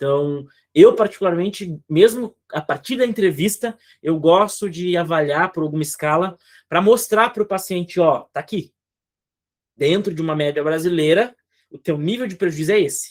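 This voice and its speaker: A man's high-pitched voice with big swings in loudness, in a very clean recording with a silent background. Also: ordinary pitch variation, moderate pace. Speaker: psychologist. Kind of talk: clinical supervision session. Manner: animated.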